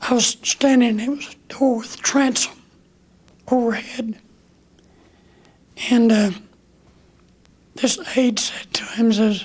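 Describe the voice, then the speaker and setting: Pausing long and often, a man with an extremely high pitch talks at a very slow pace with fairly even intonation. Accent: American. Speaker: war veteran. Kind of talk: interview answer.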